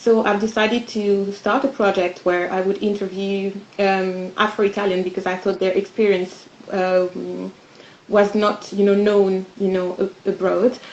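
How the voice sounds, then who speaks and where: A woman with a French accent speaks at a fairly slow pace and medium pitch, monotone and flat. Noticeable background noise runs underneath. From France. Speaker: podcast co-founder. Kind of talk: panel discussion.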